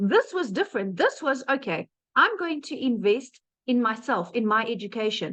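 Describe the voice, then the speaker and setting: This voice, in a South African accent, has very wide pitch swings. It keeps a moderate pace. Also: woman, high pitch for a woman. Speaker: webinar presenter, digital marketer. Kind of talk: webinar testimony. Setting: online webinar. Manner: conversational, animated.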